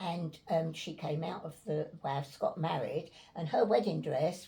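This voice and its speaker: A woman speaks in a London accent. Her pitch is fairly low and her pace fairly slow. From Islington, North London. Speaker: war evacuee. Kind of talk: interview answer.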